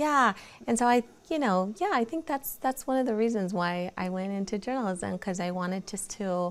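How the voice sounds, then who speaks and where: A woman at medium pitch on a very clean recording with a silent background. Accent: Mexican. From Central California (Porterville/Lindsay), born in Mexico. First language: Spanish. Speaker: nonprofit community leader. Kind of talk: interview. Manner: hesitant, many fillers and repeats.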